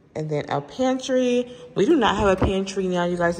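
The woman talks at a moderate pace. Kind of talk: casual vlog chat. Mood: excited, relaxed. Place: home room. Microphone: phone near.

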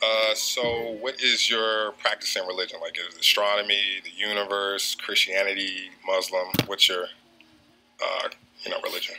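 A man speaks with an American accent at a moderate pace. There is light background noise. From US Mid-Atlantic. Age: 30s. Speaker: dating show contestant. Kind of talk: dating show conversation. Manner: hesitant. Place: studio. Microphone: handheld.

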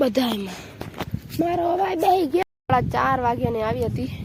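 Amid noticeable background noise, a woman speaks in a high pitch with lively intonation. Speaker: village vlogger. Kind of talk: casual vlog talk. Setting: outdoors in cotton field.

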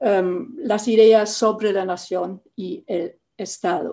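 A woman's voice has a dark, mellow tone against a quiet background. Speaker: panelist. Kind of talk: prepared talk in a virtual debate. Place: home room. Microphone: webcam.

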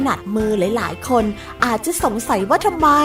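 A woman's lively intonation stands out against music in the background. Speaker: voice talent. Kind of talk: public health information spot read.

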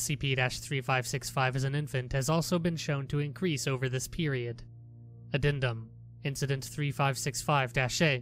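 A man's medium-pitched voice with fairly even intonation, music playing behind it. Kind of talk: creepy document reading.

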